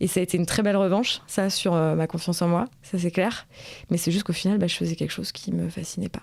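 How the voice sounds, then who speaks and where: Speaking at a very fast pace, a woman uses a fairly low voice with vocal fry. Her intonation stays fairly even. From rural France. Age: 20s. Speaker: interviewee. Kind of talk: interview testimony. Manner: halting, many hesitations.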